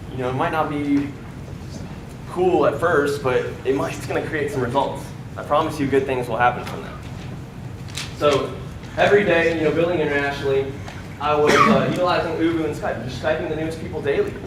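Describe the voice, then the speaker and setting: A man with an American accent speaks in a fairly high pitch with fairly even intonation and long, frequent pauses, with audible room echo and noticeable background noise. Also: fairly quick pace. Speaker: network marketing speaker. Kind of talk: motivational talk. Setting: stage with audience. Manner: casual, filler-heavy.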